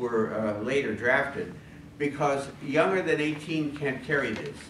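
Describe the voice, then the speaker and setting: With audible room echo and noticeable background noise, a man speaks at a fairly high pitch with ordinary pitch variation. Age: 70s. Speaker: retired pastor and civil war reenactor. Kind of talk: talk at a club meeting. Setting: club meeting with audience.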